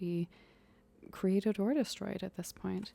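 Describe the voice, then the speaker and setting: The soft-spoken voice has a dark, mellow tone, captured with a dry, close sound with no echo. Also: woman. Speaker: ASMR tarot reader. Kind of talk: ASMR tarot reading, role-play as big sister.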